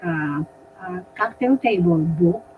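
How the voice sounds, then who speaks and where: A woman talks at a fairly low pitch with ordinary pitch variation. Noticeable background noise is present. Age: 80s+. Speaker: retired doctor and community leader. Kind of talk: interview. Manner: halting.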